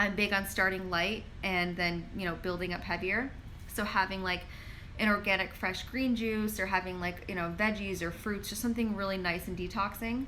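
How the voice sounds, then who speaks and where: With audible room echo, a woman of medium pitch talks at a moderate pace with fairly even intonation. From New York. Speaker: pharmacist and wellness influencer. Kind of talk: live Q&A stream. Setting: live social media stream. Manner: casual, filler-heavy.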